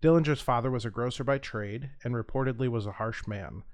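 Over a quiet background, a man with an American accent speaks at a medium pitch with ordinary pitch variation, in an ordinary speaking voice. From US Midwest. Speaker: podcast co-host who narrates true crime. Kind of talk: true crime narration read from notes.

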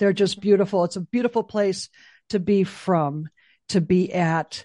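An ordinary speaking voice with ordinary pitch variation, dry and close with no echo, against a quiet background. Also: woman. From Chicago. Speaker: executive director of a memorial nonprofit. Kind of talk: interview.

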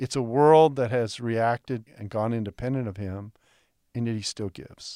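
Dark and mellow, a man's voice carries a Texan accent and ordinary pitch variation. The very clean recording has a silent background and a dry, close sound with no echo. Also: medium pitch for a man, moderate pace, big swings in loudness. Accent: Texan American. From Texas. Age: 60s. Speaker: biblical scholar. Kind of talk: interview conversation. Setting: studio.

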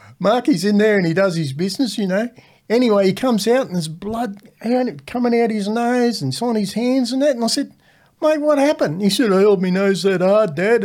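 This man has a high pitch and lively intonation at a fairly quick pace. The recording is very clean and the background silent. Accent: Australian. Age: 60s. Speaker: retired welding instructor, host's father. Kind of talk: casual chat.

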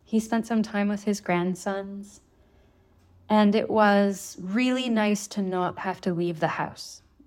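In a Canadian accent, a woman speaks at a medium pitch and a fairly slow pace, a plain, everyday voice. The recording is very clean, with a silent background. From Thunder Bay, northern Ontario, Canada. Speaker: author and osteopath. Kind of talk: interview.

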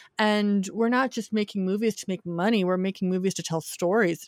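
A normal speaking voice from a woman at medium pitch, with an American accent, ordinary pitch variation and dry, close sound with no echo. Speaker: film critic. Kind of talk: casual chat.

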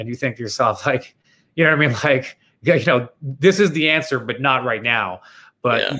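At a moderate pace, a man speaks in an unremarkable speaking voice at medium pitch with ordinary pitch variation. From Canada, Toronto. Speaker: former Wall Street investor and nonprofit founder. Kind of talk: interview conversation.

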